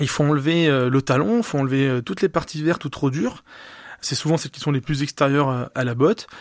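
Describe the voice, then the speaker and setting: A man with a fairly high pitch and ordinary pitch variation talks at a moderate pace on a very clean recording with a silent background. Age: 30s. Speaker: food entrepreneur. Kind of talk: radio interview. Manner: halting, with fillers.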